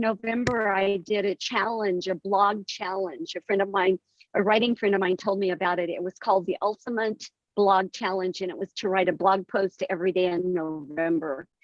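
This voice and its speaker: With an American accent, a woman talks at a moderate pace in an ordinary speaking voice pitched at a medium level. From US West, southeastern Colorado ranching community. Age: 60s. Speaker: author and poet. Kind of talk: interview.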